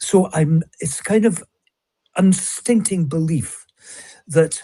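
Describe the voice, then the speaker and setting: A man with a Scottish accent, high in pitch, fairly slow, with ordinary pitch variation. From Scotland. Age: 70s. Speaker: author and speaker. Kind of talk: interview conversation.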